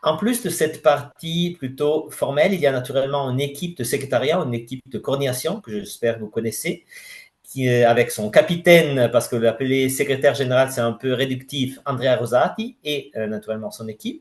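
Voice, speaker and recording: Somewhat breathy and with a non-native accent, a man talks at a fairly quick pace with ordinary pitch variation. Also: medium pitch for a man. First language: not French (speaking French). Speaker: president of a scientific federation. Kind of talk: conference presentation. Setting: general assembly audience. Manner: halting, many hesitations.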